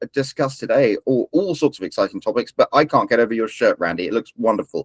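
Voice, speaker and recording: This man speaks with a British accent at a fairly quick pace. The sound is dry and close, with no echo. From Britain. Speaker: podcast host. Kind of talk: show introduction.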